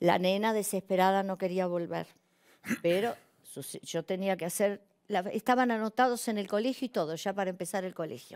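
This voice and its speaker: Her pitch varies in an ordinary way as the woman speaks at a moderate pace. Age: 60s. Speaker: actress and comedian; actress, comedian. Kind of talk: personal testimony on a talk show. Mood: emotional, moved. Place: studio. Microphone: lapel.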